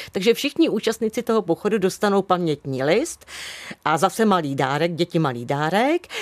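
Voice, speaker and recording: Captured with a dry, close sound and no echo, a woman speaks at a medium pitch with very wide pitch swings and very even loudness. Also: moderate pace. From Central Bohemia, Czechia. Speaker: former museum worker. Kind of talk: interview. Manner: halting.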